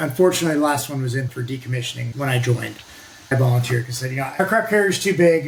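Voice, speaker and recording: Talking very fast, a man with a Pacific Northwest accent uses a medium pitch and ordinary pitch variation. Background noise is noticeable throughout. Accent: American, Pacific Northwest. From US Pacific Northwest, northwest Oregon. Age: 60s. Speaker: navy veteran and nuclear energy advocate. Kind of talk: casual interview. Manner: talkative, loose chatty delivery.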